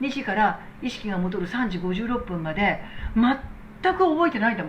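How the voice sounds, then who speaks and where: A woman's fairly high, quick-paced voice with very wide pitch swings over noticeable background noise. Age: 60s. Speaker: medical technician and business owner. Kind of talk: casual talk replying to viewer comments.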